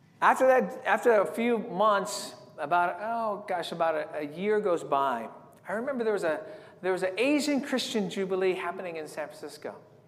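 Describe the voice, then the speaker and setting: Heard with audible room echo, a man with an American accent speaks at a moderate pace in a high pitch with lively intonation. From San Diego, California. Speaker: evangelist. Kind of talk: sermon.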